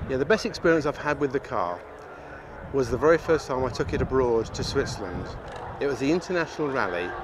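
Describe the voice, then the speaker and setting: With an English accent, a man talks very fast in a fairly high pitch and lively intonation over noticeable background noise. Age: 60s. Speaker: classic car owner. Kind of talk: interview monologue.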